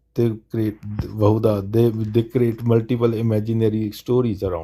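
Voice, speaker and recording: A man's dark, mellow tone on a very clean recording with a silent background. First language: not English. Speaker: livestream debate host. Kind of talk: live Q&A debate stream. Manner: halting, repeats words.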